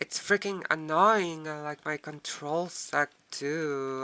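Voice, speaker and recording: The words come at a very slow pace, spoken with a non-native accent. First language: not English. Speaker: gaming YouTuber. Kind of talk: let's play commentary. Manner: halting.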